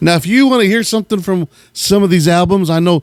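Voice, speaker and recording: Speaking at a moderate pace with ordinary pitch variation, a man has a plain, everyday voice, recorded in a dry, close sound with no echo. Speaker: radio host who collects gospel records. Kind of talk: casual show-and-tell of record collection.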